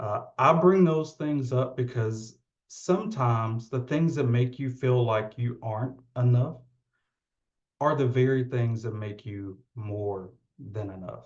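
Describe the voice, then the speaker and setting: A man talks at a fairly slow pace in a Southern US accent. His voice is medium-pitched and somewhat breathy, with ordinary pitch variation. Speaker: occupational therapist, keynote speaker. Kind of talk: keynote speech. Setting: virtual event.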